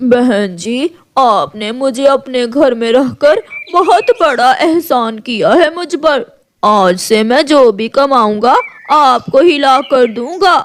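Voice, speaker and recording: Delivered at a fairly slow pace, the cartoonish character voice sits at a high pitch. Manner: sly, put-on tearful wheedling.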